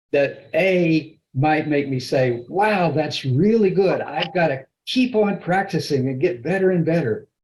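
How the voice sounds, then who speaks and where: This man has a dark, mellow tone that is somewhat breathy. He speaks at a fairly slow pace with ordinary pitch variation. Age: 70s. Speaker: Toastmasters club member giving a speech. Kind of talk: prepared speech.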